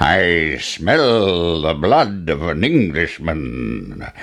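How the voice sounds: Against clear background noise, a man does a put-on character voice, low in pitch, at a very slow pace with big pitch swings.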